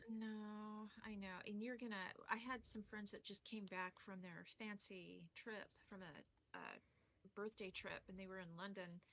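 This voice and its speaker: With hardly any pauses, a woman speaks at a fairly slow pace in a medium-pitched, monotone, flat delivery. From Arizona. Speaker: forensic science instructor. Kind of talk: casual chat.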